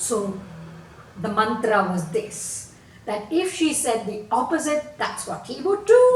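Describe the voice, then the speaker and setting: Amid noticeable background noise, a woman with a fairly high pitch speaks at a fairly slow pace, her pitch making very wide swings. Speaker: storyteller. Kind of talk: children's folk tale storytelling. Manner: animated, expressive.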